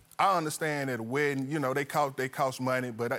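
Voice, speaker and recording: A man with a normal speaking voice at a medium pitch and a fairly quick pace. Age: 40s. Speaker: litigant. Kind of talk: courtroom testimony.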